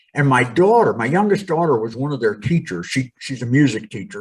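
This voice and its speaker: His voice is somewhat breathy. The man's pitch swings very widely. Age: 60s. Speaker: pastor and former professional wrestler. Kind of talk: podcast interview, storytelling.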